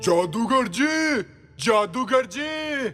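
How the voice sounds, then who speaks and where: A man shouts in a put-on character voice at an extremely high pitch. Faint music plays in the background. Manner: shouting.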